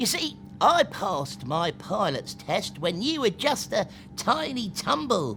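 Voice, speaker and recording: Clear music plays behind a put-on character voice at middle pitch, delivered at a fairly slow pace. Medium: read story. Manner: brusque, gruff.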